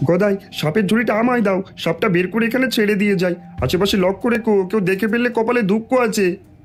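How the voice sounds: A cartoonish character voice at fairly high pitch plays over clear music in the background. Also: moderate pace.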